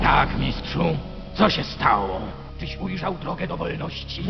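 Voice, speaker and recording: A man's cartoonish character voice at a moderate pace, over loud background noise. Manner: eager, anxious.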